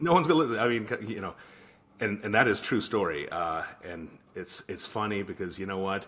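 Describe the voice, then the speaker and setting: A man with a fairly low pitch uses lively intonation. He speaks at a fairly quick pace. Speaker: podcast co-host. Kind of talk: casual chat. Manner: halting with many fillers.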